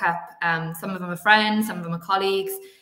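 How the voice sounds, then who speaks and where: Woman with a Welsh accent, medium pitch, flat monotone delivery, fairly quick pace, audible room echo and noticeable background noise. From Wales. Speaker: sports executive. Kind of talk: interview.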